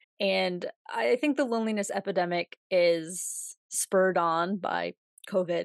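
An unremarkable speaking voice from a woman with an American accent, medium pitch and ordinary pitch variation, in a dry, close sound with no echo and a quiet background. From United States. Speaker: podcast host. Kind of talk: solo podcast monologue. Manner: casual, laughs often.

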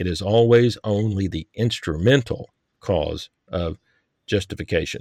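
This man speaks at a fairly low pitch with ordinary pitch variation and an unremarkable speaking voice, recorded very cleanly with a silent background and a dry, close sound with no echo. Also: fairly slow pace. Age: 60s. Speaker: podcast host and author. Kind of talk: interview discussion on theology.

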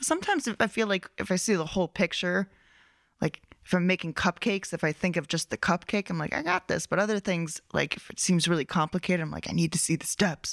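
In a very clean recording with a silent background and a dry, close sound with no echo, a woman with a fairly low voice talks very fast in a fairly even tone. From southern New Hampshire. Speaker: comedian. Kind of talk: casual chat.

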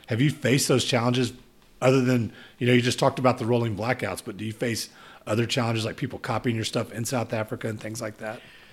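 A man with a Texan accent talks very fast in a flat monotone, on a very clean recording with a silent background. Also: medium pitch for a man. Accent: Texan American English. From Texas. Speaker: podcast host. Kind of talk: casual interview. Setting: in-person conversation.

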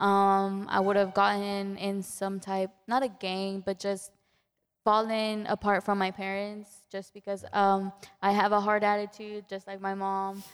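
Very slowly, a woman of medium pitch speaks with a Spanish accent. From Mexico. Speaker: student and volunteer.

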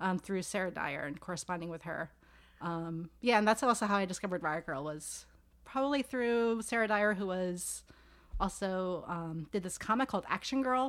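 Heard on a very clean recording with a silent background, a normal speaking voice with an American accent moves at a moderate pace with lively intonation. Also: woman, medium pitch for a woman. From New York City, Staten Island. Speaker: sociology professor. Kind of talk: casual interview. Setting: home office.

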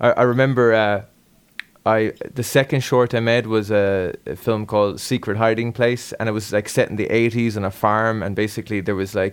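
This man has an Irish accent. His pitch is fairly low. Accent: Irish (Galway). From Ireland. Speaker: podcast host and musician. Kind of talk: casual interview chat.

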